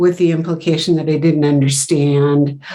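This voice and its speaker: With a dark, mellow tone and fairly low pitch, a woman speaks at a moderate pace. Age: 60s. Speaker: marketing executive. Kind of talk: interview. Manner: halting.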